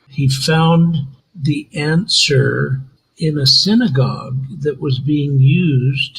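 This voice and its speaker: A man's fairly high voice, somewhat breathy, moves with ordinary pitch variation. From Israel, raised in New York. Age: 80s+. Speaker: tour business owner. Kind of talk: interview, personal testimony.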